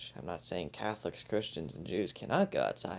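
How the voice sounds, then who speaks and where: A soft-spoken man talks with vocal fry. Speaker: podcast host. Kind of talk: casual podcast monologue.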